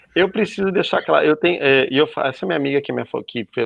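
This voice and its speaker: The man talks at a very fast pace. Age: 40s. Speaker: youtuber. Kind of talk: panel discussion. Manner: animated.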